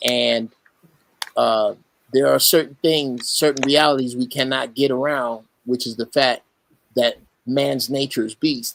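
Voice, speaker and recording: A man at a fairly slow pace and medium pitch, with fairly even intonation and long, frequent pauses. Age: 60s. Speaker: Marine veteran, caller. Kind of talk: casual chat. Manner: halting.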